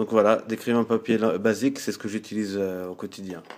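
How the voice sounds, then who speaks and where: Music sounds in the background. A man with a fairly low pitch speaks at a moderate pace with fairly even intonation. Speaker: artist showing drawing supplies. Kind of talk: tutorial. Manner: hesitant, many fillers.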